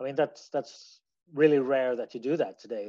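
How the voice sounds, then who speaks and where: Speaking at a moderate pace, a man with a Swedish accent holds a medium pitch. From Sweden. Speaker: musician. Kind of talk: interview answers. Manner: halting, hesitant.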